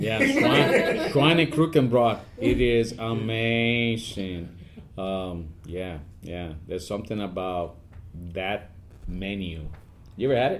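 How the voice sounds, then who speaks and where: At a very slow pace, a man speaks with lively intonation. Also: fairly low pitch for a man. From Puerto Rico. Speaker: army command sergeant major. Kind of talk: podcast interview answer.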